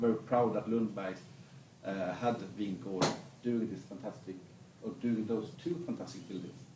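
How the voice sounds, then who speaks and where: A man with a southern Swedish accent talks fairly quickly at a medium pitch. Noticeable background noise and audible room echo surround his voice. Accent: Blekinge Swedish accent in English. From Sweden, Blekinge. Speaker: business association chief. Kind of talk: stage interview. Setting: stage with audience.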